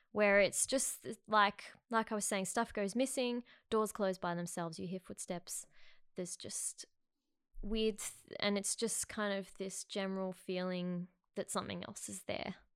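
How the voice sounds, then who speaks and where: A woman with an Australian accent speaks fairly slowly with fairly even intonation and big swings in loudness, in a very clean recording with a silent background. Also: medium pitch for a woman. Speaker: podcast guest, film crew worker. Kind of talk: casual chat.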